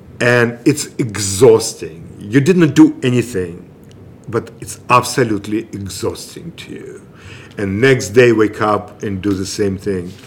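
A man with a Russian accent speaks at a fairly slow pace and medium pitch, with ordinary pitch variation. His loudness swings widely, and noticeable background noise runs underneath. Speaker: improv comedian. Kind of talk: casual chat.

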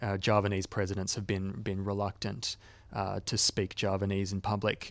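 A fairly low-pitched man with an Australian accent at a moderate pace, on a very clean recording with a silent background. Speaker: podcast host and editor. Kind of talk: interview and discussion.

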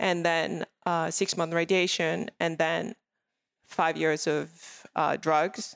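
A woman's fairly low voice with vocal fry, in a French accent, very slow and flat in intonation, very even in loudness, on a very clean recording with a silent background. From France, Paris. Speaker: skincare entrepreneur and cancer survivor. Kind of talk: interview. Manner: laughs often.

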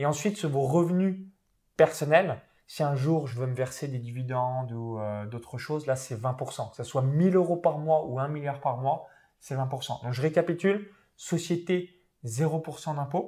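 In a very clean recording with a silent background, a man with a fairly high pitch and a dark, mellow, somewhat breathy tone speaks at a fairly slow pace with ordinary pitch variation. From France, Saône-et-Loire (rural Burgundy). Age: 20s. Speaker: internet entrepreneur and property investor. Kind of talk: interview.

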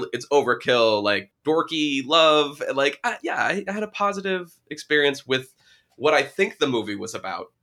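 Bright and sharp in tone, a man's fairly high voice moves through very wide pitch swings at a moderate pace. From New Hampshire. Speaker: podcast host. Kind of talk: casual chat. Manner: animated.

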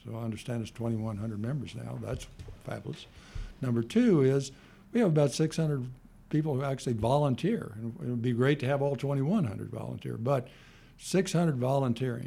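A man with a medium pitch and a dark, mellow tone speaks at a moderate pace, somewhat breathy, with ordinary pitch variation. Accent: American. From US Midwest, Kansas City. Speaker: retired lawyer and foundation founder. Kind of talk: interview. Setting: studio. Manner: halting, many fillers.

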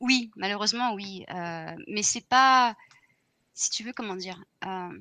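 A woman with a bright, sharp tone and a medium pitch speaks at a very slow pace, leaving long, frequent pauses. Her loudness swings widely, her pitch varies in an ordinary way, and the background is quiet. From Paris region, France. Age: 30s. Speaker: video game producer. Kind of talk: casual interview.

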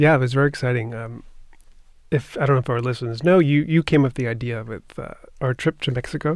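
On a very clean recording with a silent background, a man talks at a very fast pace. His medium-pitched voice keeps fairly even intonation. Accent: American. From Long Island, New York (Nassau County). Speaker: orchestra board president, cellist. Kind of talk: interview conversation.

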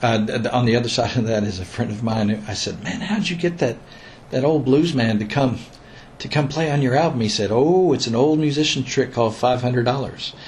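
Speaking at a fairly quick pace with an American accent, this voice shows ordinary pitch variation. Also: man, medium pitch for a man. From Missouri, US. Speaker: bluegrass musician and teacher. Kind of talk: casual interview conversation.

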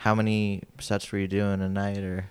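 With a plain, everyday voice, a man speaks at a fairly low pitch and a moderate pace. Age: 20s. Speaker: podcast host and comedian. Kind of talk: podcast intro; casual interview chat. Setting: in Las Vegas.

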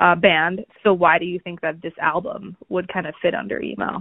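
A woman with a plain, everyday voice, fairly low in pitch with ordinary variation, at a moderate pace. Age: 30s. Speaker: podcast host. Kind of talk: casual chat.

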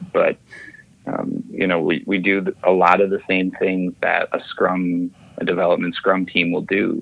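A man speaks over noticeable background noise. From Minnesota, US Midwest. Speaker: consultant, Air Force veteran pilot. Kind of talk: interview. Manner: halting, many fillers.

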